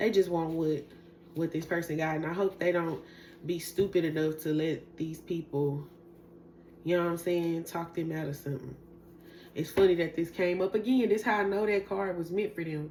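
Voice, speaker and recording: The delivery moves at a moderate pace with fairly even intonation. The tone is dark and mellow. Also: woman, fairly low pitch for a woman. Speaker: tarot reader. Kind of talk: tarot reading monologue. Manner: casual, conversational.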